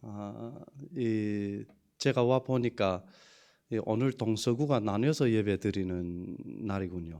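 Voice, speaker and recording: A fairly low-pitched man with a dark, mellow tone and a Yanbian accent, very slow with long, frequent pauses and ordinary pitch variation. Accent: Yanbian Korean dialect. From China, Yanbian (Hunchun), ethnic Korean. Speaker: pastor. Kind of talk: sermon. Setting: church. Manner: halting.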